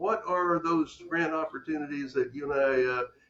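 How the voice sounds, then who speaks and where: A man speaks fairly quickly in an American accent. Noticeable background noise runs behind him. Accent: occasional Texas. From Texas. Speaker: podcast host. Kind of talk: interview.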